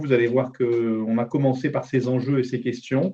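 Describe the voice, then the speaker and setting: Using a normal speaking voice, a man talks at a moderate pace and medium pitch with fairly even intonation. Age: 60s. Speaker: business transition advisor. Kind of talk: webinar presentation.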